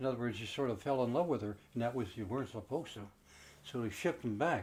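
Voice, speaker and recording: Lively in intonation and somewhat breathy, a man at a medium pitch talks at a very fast pace. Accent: Canadian Prairie. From Canada, Winnipeg. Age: 80s+. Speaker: war veteran. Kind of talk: recorded testimony. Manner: halting.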